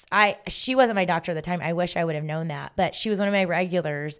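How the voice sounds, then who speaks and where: Recorded very cleanly against a silent background, an unremarkable speaking voice with an American accent moves at a fairly quick pace with ordinary pitch variation. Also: woman. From US South, Augusta area on Georgia–South Carolina border. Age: 30s. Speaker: fitness instructor and gym owner. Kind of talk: casual chat.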